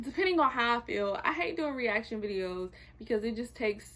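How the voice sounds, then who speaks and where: Her pace is fairly quick, and this woman's bright, sharp tone carries ordinary pitch variation. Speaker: YouTuber reviewing TV shows. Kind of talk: casual vlog chat. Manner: fast.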